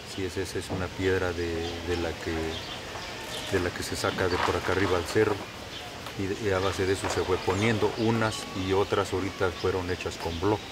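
Over music in the background, a man talks in a very deep, low voice at a moderate pace. His intonation is monotone and flat. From Mexico, Hidalgo. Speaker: local worker at tourist site. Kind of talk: interview. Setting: outdoors. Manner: halting. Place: open country.

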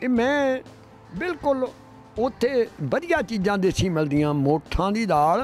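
A man's pitch swings very widely. The sound is dry with no echo, and faint music plays in the background. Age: 80s+. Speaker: marathon runner. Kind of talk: interview answer. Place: street. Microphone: handheld.

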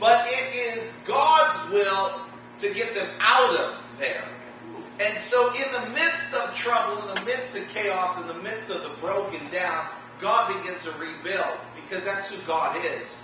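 A man speaks in a raised, projected voice with lively intonation at a fairly slow pace. Strong room echo surrounds him, and music plays in the background. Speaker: pastor. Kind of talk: sermon. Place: church.

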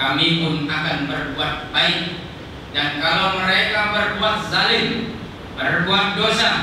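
With noticeable background noise and strong room echo around him, a man speaks in a raised, projected voice at a very slow pace. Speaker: preacher. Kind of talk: sermon. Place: church.

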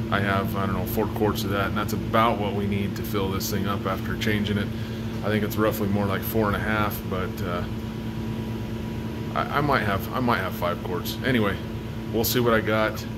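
Against loud background noise, a man speaks at a moderate pace, leaving long, frequent pauses. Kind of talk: casual vlog chat. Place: garage. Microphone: phone near.

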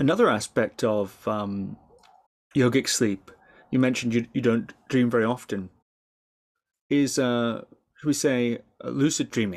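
With a northern Scottish accent, a man talks at a fairly slow pace with ordinary pitch variation and long, frequent pauses against a quiet background. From far north of Scotland. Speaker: podcast interviewer. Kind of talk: interview. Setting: remote call. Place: home room. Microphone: webcam.

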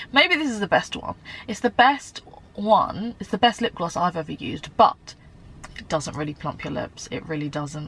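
A woman talks with very wide pitch swings and big swings in loudness. The sound is dry, with no echo. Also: moderate pace. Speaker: beauty vlogger. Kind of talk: casual vlog chat.

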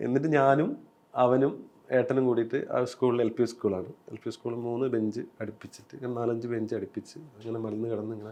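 Here is a man with a plain, everyday voice. He speaks at a medium pitch with fairly even intonation. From Kerala, Kasaragod district. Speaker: novelist and screenwriter. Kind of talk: interview.

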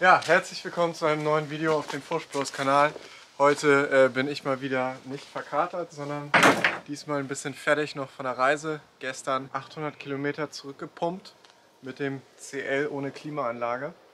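Over light background noise, a man speaks at a moderate pace with monotone, flat intonation. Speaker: van build vlogger. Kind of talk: casual vlog chat. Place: street.

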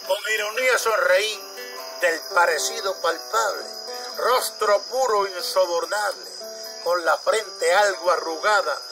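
A man at a very slow pace amid noticeable background noise. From Puerto Rico. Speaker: poetry reciter. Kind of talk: poetry reading. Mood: tender, nostalgic.

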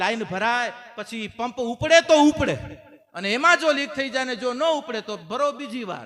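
Raising and projecting his voice, a man with a high pitch and lively intonation speaks over noticeable background noise. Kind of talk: sermon. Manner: animated.

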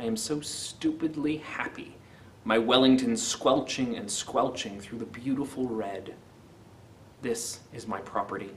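A man in a normal speaking voice at a medium pitch, fairly slow, with ordinary pitch variation, big swings in loudness and light background noise. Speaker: poetry video host. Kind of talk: poetry reading, then casual commentary. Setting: video channel. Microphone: webcam.

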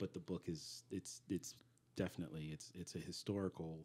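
Soft-spoken and fairly slow, a man talks with a dark, mellow tone. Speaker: actor and writer; actor. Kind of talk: casual chat; interview answer. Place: studio. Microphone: studio mic.

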